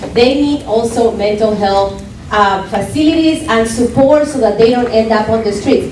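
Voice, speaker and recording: A woman with a Spanish accent and a fairly high pitch speaks at a moderate pace with ordinary pitch variation, with audible room echo and noticeable background noise. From Colombia. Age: young. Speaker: political candidate. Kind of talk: campaign speech. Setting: club meeting with audience. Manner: impassioned.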